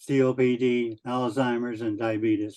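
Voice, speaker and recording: A man speaks at a medium pitch with a dark, mellow tone. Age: 80s+. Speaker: author. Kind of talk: interview. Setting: video call.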